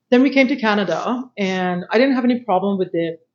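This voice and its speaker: A woman with a Persian accent, at a moderate pace. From Iran. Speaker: panelist. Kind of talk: panel discussion.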